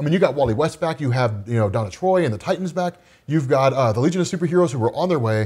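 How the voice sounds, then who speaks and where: A man's very fast, somewhat breathy speech, fairly high in pitch with lively intonation. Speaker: podcast co-host. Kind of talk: casual chat. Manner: soothing, pattern of rising and falling pitch.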